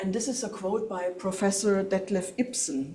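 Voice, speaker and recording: A woman speaks at a fairly slow pace with a German accent, her pitch medium and her pitch variation ordinary. The room echo is audible, and there is noticeable background noise. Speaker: professor. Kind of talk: lecture. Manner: halting.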